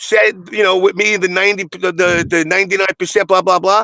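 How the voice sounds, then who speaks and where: A man with a Brooklyn accent talks in an animated, raised, projected voice with a bright, sharp tone. The sound is dry and close, with no echo. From Brooklyn, New York. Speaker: fighting game community commentator. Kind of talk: heated debate.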